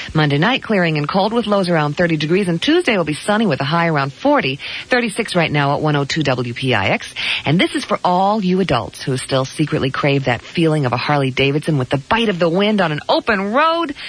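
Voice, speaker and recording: Upbeat, playful female speech, fairly low in pitch with very wide pitch swings, at a fairly quick pace with very even loudness and noticeable background noise. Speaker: radio DJ. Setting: radio broadcast. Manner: smooth, upbeat, breezy, quick-paced announcer delivery with playful asides and laughs.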